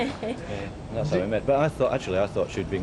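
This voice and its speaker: A man with an English accent at a very fast pace, over noticeable background noise. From northern England, Yorkshire. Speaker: newspaper worker interviewed in street. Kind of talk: casual interview.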